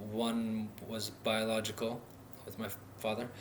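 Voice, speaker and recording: At a fairly slow pace, a man with an Upper Midwest accent talks in a room with audible echo. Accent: Upper Midwest American. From North Dakota, US Midwest. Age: 30s. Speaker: vlogger, recovery advocate. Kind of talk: personal vlog monologue. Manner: halting, many fillers.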